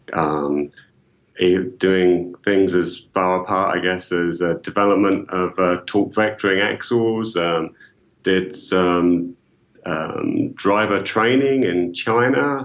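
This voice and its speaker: In a slight British accent, a man speaks at a very slow pace with a very deep, low pitch, ordinary pitch variation, and very even loudness. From UK. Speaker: engineering software marketing executive. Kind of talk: podcast interview.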